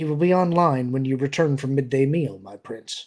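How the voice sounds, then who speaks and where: Using a put-on character voice, a man speaks at medium pitch. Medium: read story. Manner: terse, emotionless.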